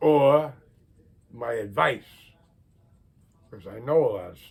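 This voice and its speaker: The delivery is fairly slow and somewhat breathy. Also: man. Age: 80s+. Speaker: retired car enthusiast video blogger. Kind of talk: casual monologue vlog. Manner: rambling conversational.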